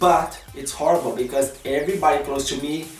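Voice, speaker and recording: A man with a strong Brazilian accent speaks at a fairly high pitch. Audible room echo and music in the background accompany him. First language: Portuguese. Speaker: vlogger. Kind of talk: casual vlog chat. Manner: non-native halting English.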